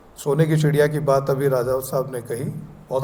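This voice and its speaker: There is audible room echo and noticeable background noise. A man speaks with a fairly high pitch. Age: 60s. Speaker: retired public relations officer and former broadcaster. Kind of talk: award ceremony speech. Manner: formal, with hesitations.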